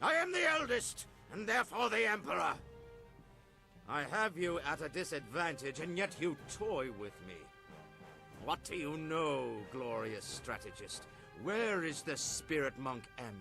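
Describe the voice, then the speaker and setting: With clear music in the background, a man uses a put-on character voice, fairly high in pitch, at a moderate pace broken by long, frequent pauses. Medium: video game. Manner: imperious, cold.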